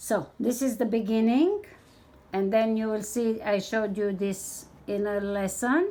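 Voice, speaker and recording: A woman's fairly high voice with a dark, mellow tone at a fairly slow pace. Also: ordinary pitch variation. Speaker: needle lace crafter and tutorial maker. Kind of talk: tutorial.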